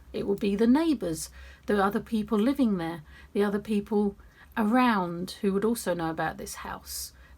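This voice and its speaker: On a very clean recording with a silent background, a woman talks at a moderate pace in a somewhat breathy, medium-pitched voice with ordinary pitch variation. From England. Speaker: writer and YouTuber. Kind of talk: casual vlog monologue.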